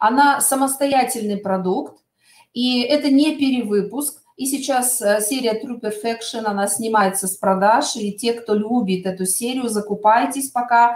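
A woman talks at a fairly slow pace with a high pitch and ordinary pitch variation, with audible room echo around her. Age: middle-aged. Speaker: cosmetics sales consultant. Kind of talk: webinar product presentation. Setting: online webinar. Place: home room. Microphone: webcam.

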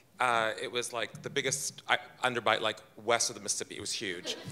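A man talks in a bright, sharp tone. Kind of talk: storytelling performance. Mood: humorous, warm. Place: stage. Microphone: handheld.

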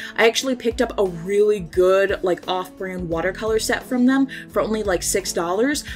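Over music in the background, a woman speaks at a medium pitch and moderate pace. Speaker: self-taught artist and animator. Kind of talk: casual commentary over speedpaint. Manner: casual, joking.

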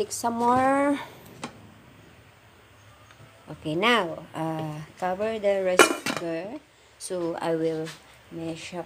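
A woman talks very slowly with long, frequent pauses over noticeable background noise. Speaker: home cook vlogger. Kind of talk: tutorial. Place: kitchen. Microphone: phone near.

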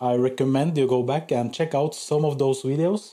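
A man's voice, dark and mellow in tone, shows ordinary pitch variation while the background stays quiet. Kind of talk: casual vlog chat. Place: workshop. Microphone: camera far.

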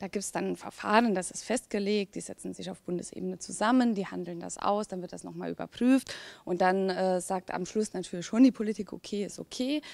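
A woman's voice with ordinary pitch variation, big swings in loudness and hardly any pauses, in a dry sound with no echo. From Saarland, Germany. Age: young. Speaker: politician. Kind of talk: interview. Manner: hesitant with many fillers. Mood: friendly, relaxed. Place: hall. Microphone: handheld.

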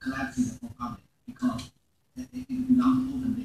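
The voice has a dark, mellow tone with a husky, rough edge and vocal fry. It moves at a fairly quick pace.

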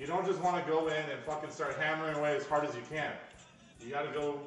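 A man talks at a fairly quick pace, with audible room echo and light background noise. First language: not English. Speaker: streamer; streamer cooking. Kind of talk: casual chat. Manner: animated. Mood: joking, playful. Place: kitchen. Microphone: camera far.

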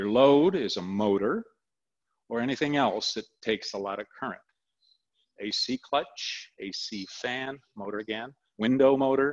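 Against a quiet background, a man speaks at a fairly slow pace with long, frequent pauses and ordinary pitch variation. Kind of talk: tutorial. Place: garage.

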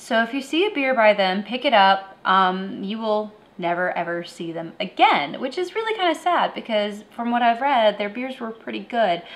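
A woman at a moderate pace, with hardly any pauses. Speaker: beer review show host. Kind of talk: review commentary. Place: home room.

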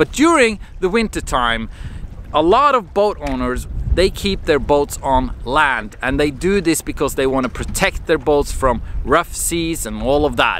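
A man talks fairly slowly, with light noise in the background. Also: dry sound with no echo. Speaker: marine mechanic vlogger. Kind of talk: casual vlog chat. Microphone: phone near.

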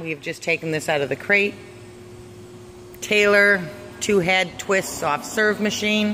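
Speech moves at a fairly slow pace with long, frequent pauses. Light background noise sits underneath. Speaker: auctioneer / promotional presenter. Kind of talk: promotional walkthrough narration for an auction. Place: hall. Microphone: phone near.

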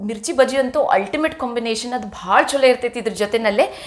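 The speaker is a woman. Her voice sits high. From North Karnataka, Hubballi; Karnataka. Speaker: cooking vlogger. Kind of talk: cooking tutorial vlog. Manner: chatty, talkative. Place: kitchen. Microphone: camera far.

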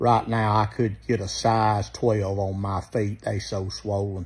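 Somewhat breathy, a man speaks at a fairly slow pace with a fairly low pitch and monotone, flat intonation. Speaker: vacation vlogger. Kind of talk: casual vlog chat. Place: home room. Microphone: phone near.

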